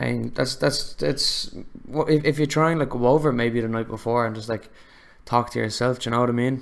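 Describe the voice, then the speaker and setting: With an Irish accent, a man speaks fairly quickly at a medium pitch, his pitch varying in an ordinary way. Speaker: podcast host, filmmaker. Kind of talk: casual chat.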